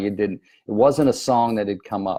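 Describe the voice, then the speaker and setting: There is a very clean recording with a silent background. A man speaks at a moderate pace in a fairly low pitch with a dark, mellow tone. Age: 60s. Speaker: network marketing distributor giving motivational talks. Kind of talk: motivational talk.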